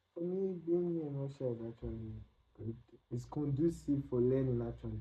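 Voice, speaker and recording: The speaker has a Nigerian accent. The pace is moderate and the pitch variation ordinary. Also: man. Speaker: international student. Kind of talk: interview.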